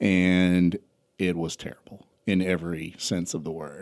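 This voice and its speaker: A man's very deep, low voice with a Southern US accent, on a very clean recording with a silent background. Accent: Southern US (South Georgia). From US South, South Georgia. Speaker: entrepreneur and trucking company founder. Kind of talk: podcast interview.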